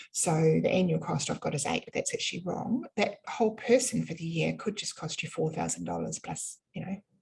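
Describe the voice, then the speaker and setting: In a New Zealand accent, a woman speaks at a fairly quick pace. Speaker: business funding consultant. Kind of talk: live webinar presentation. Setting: online webinar. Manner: casual, many fillers.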